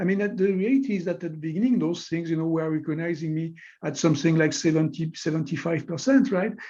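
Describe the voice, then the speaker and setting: Here a man speaks with a French accent. His pitch is high, with ordinary variation. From France. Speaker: technology executive and scientist. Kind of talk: webinar interview. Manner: hesitant, many fillers.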